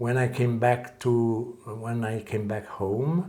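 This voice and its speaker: Somewhat breathy and fairly even in intonation, a man speaks with audible room echo around him. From French-speaking Switzerland, Lausanne area. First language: French. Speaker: calligrapher and martial arts teacher. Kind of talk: interview. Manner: hesitant, many filler sounds.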